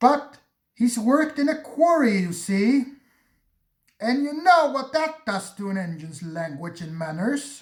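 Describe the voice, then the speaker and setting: Putting on a character voice, a man speaks at a moderate pace with extremely high pitch and very wide pitch swings. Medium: read story.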